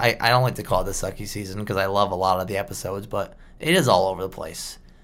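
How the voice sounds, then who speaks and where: A man talking at a very fast pace. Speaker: podcast co-host. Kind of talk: casual chat.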